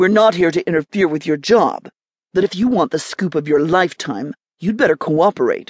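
Heard over a quiet background is an unforced reading voice.

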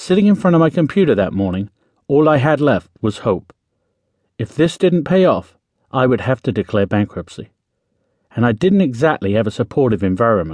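A dramatic tone with very wide pitch swings, a fairly quick pace broken by long, frequent pauses, and a dry, close sound with no echo. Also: man, medium pitch for a man. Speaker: audiobook narrator. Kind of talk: audiobook narration, first-person memoir-style, dramatic. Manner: dramatic, suspenseful, urgent; animated, motivational, direct.

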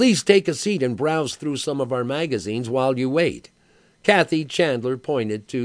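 The reading voice here is an unforced one.

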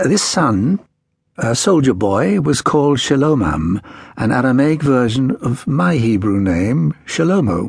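A man's medium-pitched, somewhat breathy voice with a dramatic tone, very wide pitch swings, a fairly slow pace and very even loudness. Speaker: audiobook narrator. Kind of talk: audiobook narration of a history book, read aloud in first person. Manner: dramatic, measured storytelling with a formal, literary tone.

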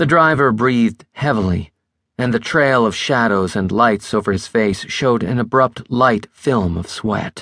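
Against a quiet background, the text is read in a natural voice.

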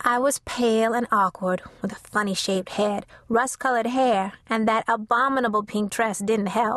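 The voice is plain reading aloud. Nothing more is heard.

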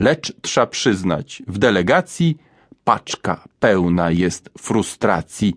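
The tone is playful and animated. The sound is dry and close, with no echo. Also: man. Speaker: audiobook narrator. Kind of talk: reading aloud rhymed children's verse, audiobook narration. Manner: playful, animated sing-song rhythm with strong rhymes, lively comic delivery.

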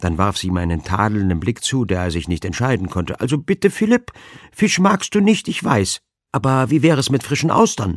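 Against a silent background in a very clean recording, a man with a medium pitch speaks at a moderate pace in an animated, playful tone with very wide pitch swings. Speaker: audiobook narrator. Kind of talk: dramatic audiobook narration, reading aloud a humorous crime story. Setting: studio. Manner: animated, playful character voices, drily comic; mimics fussy elderly ladies and a pompous dowager, dramatic pauses.

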